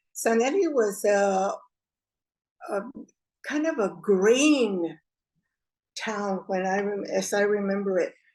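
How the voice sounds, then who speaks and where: Speaking at a very slow pace with long, frequent pauses, a woman uses lively intonation at a medium pitch. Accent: American. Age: 80s+. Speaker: oral history interviewee. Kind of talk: oral history interview. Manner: halting, with fillers.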